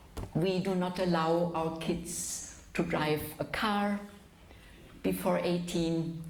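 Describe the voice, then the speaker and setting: A woman with a German accent speaks very slowly at a fairly low pitch, in a monotone, flat intonation with very even loudness. Audible room echo and noticeable background noise are present. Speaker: physician and lecturer. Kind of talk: lecture. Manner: slow, for the interpreter.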